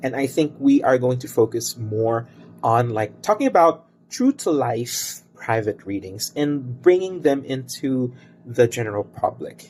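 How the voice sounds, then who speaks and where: A man's medium-pitched voice with ordinary pitch variation, fairly slow, with music in the background. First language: Cebuano and Tagalog. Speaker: tarot reader and crystal bracelet maker. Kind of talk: tarot reading video introduction. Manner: hesitant, many fillers.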